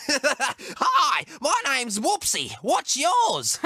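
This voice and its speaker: A put-on character voice, high in pitch, at a very slow pace. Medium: read story. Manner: giggly, cheerful.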